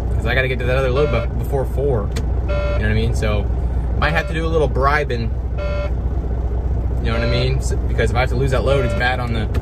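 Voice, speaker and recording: Loud background noise fills the recording. Through it, a man talks at a very fast pace. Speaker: truck driver vlogger. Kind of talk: casual vlog chat. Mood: slightly worried about timing. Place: car. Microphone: phone near.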